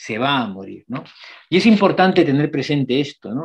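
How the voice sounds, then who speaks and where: An unremarkable speaking voice from a man, fairly high in pitch, with lively intonation and a moderate pace. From outside Spain. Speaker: palliative care doctor, geriatrician. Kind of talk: lecture.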